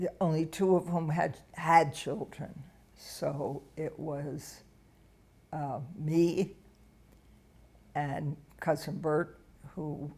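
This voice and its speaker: This woman speaks very slowly with a very deep, low pitch, a somewhat breathy, dark, mellow tone, fairly even intonation and an American accent. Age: 80s+. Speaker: interviewee telling life story. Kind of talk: oral history interview. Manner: halting.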